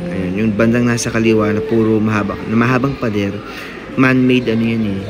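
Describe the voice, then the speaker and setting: A man speaks at a medium pitch and a moderate pace, with ordinary pitch variation. There is audible room echo, and music plays in the background. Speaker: vlogger and school teacher. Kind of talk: vlog commentary while riding a motorbike. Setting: outdoors on a motorbike.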